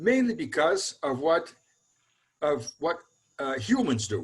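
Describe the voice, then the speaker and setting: In a Brazilian Portuguese accent, a man speaks fairly slowly in a fairly high voice with very wide pitch swings. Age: 70s. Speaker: mathematical ecology researcher. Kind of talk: interview. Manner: halting, with fillers.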